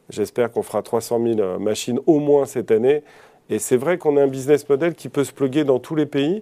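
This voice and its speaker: On a very clean recording with a silent background, a man speaks at a moderate pace. His fairly high voice has a dark, mellow tone and ordinary pitch variation. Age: 50s. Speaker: company CEO. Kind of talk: TV business interview. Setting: TV studio.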